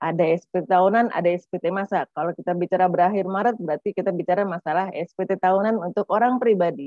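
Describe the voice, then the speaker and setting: With hardly any pauses, a woman talks at a very fast pace in a medium pitch and fairly even intonation, the sound dry with no echo and the background quiet. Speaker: tax official; presenter. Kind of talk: webinar presentation. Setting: video call. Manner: chatty, informal. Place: office. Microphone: webcam.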